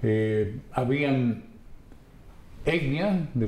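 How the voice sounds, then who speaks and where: A man's medium-pitched voice, showing ordinary pitch variation, carries through audible room echo and noticeable background noise. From Dominican Republic, San Pedro de Macorís. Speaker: radio announcer. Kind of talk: testimony.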